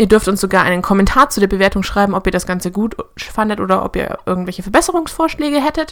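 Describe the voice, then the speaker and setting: Over noticeable background noise, a woman speaks at a very fast pace. Her pitch is medium and swings very widely. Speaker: podcast co-host. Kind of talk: casual chat.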